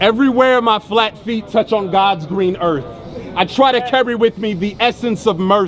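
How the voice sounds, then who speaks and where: A man with an American accent, high pitch, ordinary pitch variation and moderate pace, over noticeable background noise. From US Midwest, Ohio. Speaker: spoken word poet. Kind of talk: spoken word performance. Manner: rhythmic.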